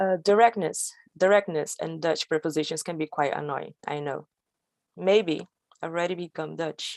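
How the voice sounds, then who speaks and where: A woman speaks with a Brazilian accent. Her pitch is fairly low. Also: ordinary pitch variation, moderate pace, dry, close sound with no echo. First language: Portuguese. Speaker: storyteller. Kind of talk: storytelling performance. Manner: halting.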